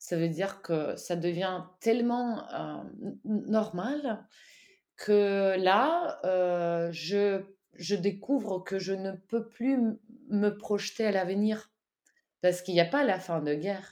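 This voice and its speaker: A woman's dark, mellow, medium-pitched voice with a Russian accent, at a very slow pace. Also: ordinary pitch variation. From Ukraine. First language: Russian (speaking French). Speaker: co-author of a war diary. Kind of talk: interview. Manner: halting.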